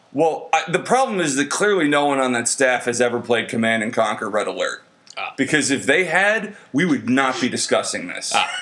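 Against noticeable background noise, a man with a fairly high pitch talks in an animated tone with hardly any pauses. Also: lively intonation. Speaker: podcast host. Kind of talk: crude comedic banter, drunk. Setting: late-night recording in San Antonio. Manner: profane, joking, animated.

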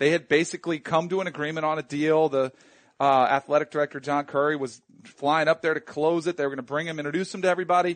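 A man speaks at a very fast pace and fairly high pitch, his tone animated, with a dry, close sound with no echo and a quiet background. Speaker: sports podcast co-host. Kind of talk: casual chat.

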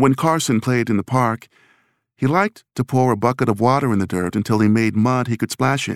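A man with an unremarkable speaking voice, medium pitch and ordinary pitch variation at a fairly quick pace, in a very clean, silent-background recording with a dry, close sound and no echo. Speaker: audiobook narrator. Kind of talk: dramatic narration. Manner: tense, suspenseful, building dread.

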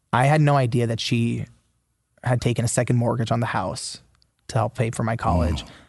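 Against a quiet background, a man with a medium pitch and vocal fry talks at a fairly quick pace. He takes long, frequent pauses, and his pitch varies in an ordinary way. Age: 20s. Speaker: author. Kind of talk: interview.

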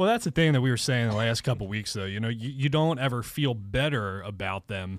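A man with an American accent speaks in an ordinary speaking voice at a medium pitch with ordinary pitch variation. The recording is very clean, with a silent background. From southeastern Pennsylvania. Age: 30s. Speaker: sports podcast panelist. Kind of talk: casual chat. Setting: studio.

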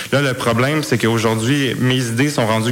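This man races through his words at a very fast pace, noticeable background noise around him. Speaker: youth parliament organizer. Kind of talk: interview.

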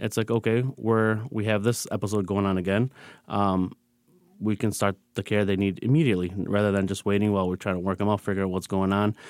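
With an American accent and an unremarkable speaking voice, a man talks at a fairly quick pace and fairly low pitch, with fairly even intonation and very even loudness, in a very clean recording with a silent background and a dry, close sound with no echo. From Michigan, Dearborn. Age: young. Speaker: hospital physician. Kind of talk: interview conversation. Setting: studio.

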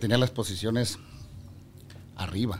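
Speaking at a moderate pace, a man with a northern Mexican accent has a dark, mellow tone. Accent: northern Mexican (Sonoran) Spanish. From Mexico, Sonora (Ciudad Obregón). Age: 40s. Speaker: regional Mexican musician. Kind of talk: casual interview chat. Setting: studio.

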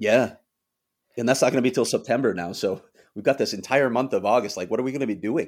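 On a very clean recording with a silent background, a man with an American accent talks at a very fast pace and medium pitch. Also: ordinary pitch variation. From US Midwest, Chicago. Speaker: hockey reporter. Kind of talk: podcast interview.

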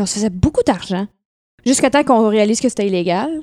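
In a Quebec accent, this voice has a dark, mellow tone and a fairly quick pace, with a dry, close sound with no echo on a very clean recording with a silent background. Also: woman. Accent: Québécois French. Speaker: singer. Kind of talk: casual chat. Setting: at her home.

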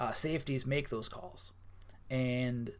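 Fairly even intonation marks this voice in an American accent. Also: man. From Wisconsin. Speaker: college football writer. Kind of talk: casual sports interview. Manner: halting, many fillers.

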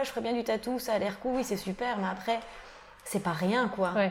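A woman's normal speaking voice, fairly high-pitched, with ordinary pitch variation. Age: 20s. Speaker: tattoo artist. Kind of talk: interview. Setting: tattoo shop.

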